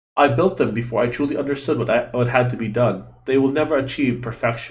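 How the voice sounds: The speaker uses a natural reading voice.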